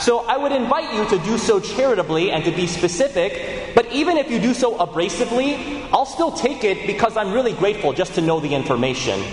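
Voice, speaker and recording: A man with lively intonation keeps a moderate pace while noticeable background noise goes on. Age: 30s. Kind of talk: homily.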